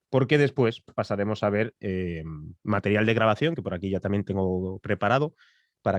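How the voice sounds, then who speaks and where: A man speaks at a fairly low pitch and a fairly quick pace. The sound is dry and close with no echo, and the background is quiet. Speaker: podcast producer and voice-over announcer. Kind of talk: masterclass lecture. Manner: fast.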